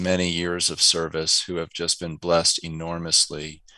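A man with a very deep, low pitch and a bright, sharp tone is heard in a dry sound with no echo against a quiet background. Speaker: remote interview guest. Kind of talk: interview answer. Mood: warm, reflective. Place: home room. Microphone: headset.

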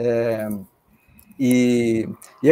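A man is speaking. The background is quiet. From Brazil, Salvador (Bahia). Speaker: professor. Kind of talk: casual discussion. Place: home room.

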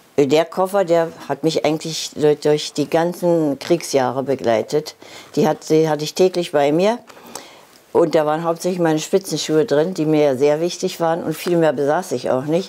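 The woman's pitch is very deep and low, with ordinary variation. She speaks at a moderate pace. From Berlin, Germany. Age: 80s+. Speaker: ballet teacher. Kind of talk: TV interview answer. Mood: reflective, reminiscing. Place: home room.

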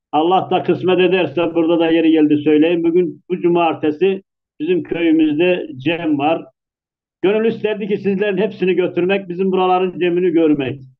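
Against a quiet background, the speaker talks at a moderate pace with fairly even intonation and very even loudness. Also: man, high pitch for a man. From Çubuk region near Ankara, Turkey; Turkey. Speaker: Alevi congregation member. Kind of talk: conversational discussion. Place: home room. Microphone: video call.

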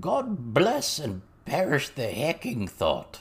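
A slow, croaky put-on character voice with very wide pitch swings.

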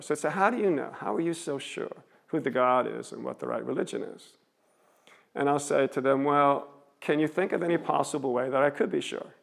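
The background stays quiet as a man talks at a fairly quick pace. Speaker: street preacher giving a seminary lecture. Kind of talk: public lecture to an audience. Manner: conversational, stream-of-consciousness. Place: hall.

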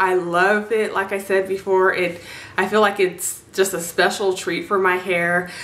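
A woman speaks at a fairly slow pace with little pitch movement. Her tone is fairly bright, with faint background noise behind her. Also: medium pitch for a woman.

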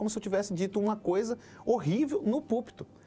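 At a fairly quick pace, a man speaks with lively intonation at a high pitch. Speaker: pastor. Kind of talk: casual discussion. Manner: fast. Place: studio. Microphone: lapel.

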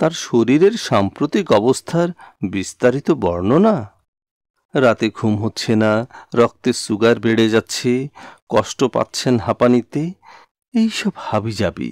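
A man talks in an ordinary speaking voice. The sound is dry and close, with no echo. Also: medium pitch for a man, lively intonation, very clean recording, silent background. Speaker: poetry reciter. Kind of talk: poetry reading.

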